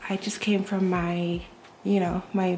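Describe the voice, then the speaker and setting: A woman's voice at a moderate pace amid noticeable background noise. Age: 20s. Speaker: dental student and lifestyle vlogger. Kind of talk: casual vlog chat. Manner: chatty.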